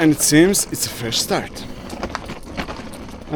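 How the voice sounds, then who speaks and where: With noticeable background noise behind him, a man speaks at a moderate pace with a Croatian accent. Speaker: vlogger. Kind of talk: casual vlog narration.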